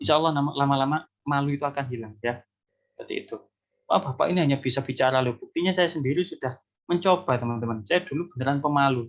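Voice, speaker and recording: A man with a fairly high voice and ordinary pitch variation talks very fast. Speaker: university lecturer. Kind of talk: lecture. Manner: animated.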